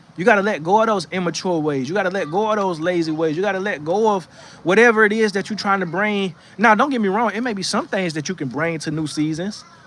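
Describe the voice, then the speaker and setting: Someone with an American accent talks at a very fast pace in an animated tone, with ordinary pitch variation. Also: man, high pitch for a man. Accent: Southern US accent, noticeable to viewers. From North Florida. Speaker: livestream host giving encouragement. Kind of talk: motivational livestream talk with chat reading. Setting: outdoors on porch in rocking chair. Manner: casual, animated.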